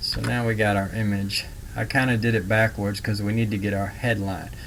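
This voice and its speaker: A man at a fairly low pitch, with a fairly quick pace, fairly even intonation and audible room echo. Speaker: online marketing instructor. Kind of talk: screen-share tutorial. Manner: casual, filler-heavy.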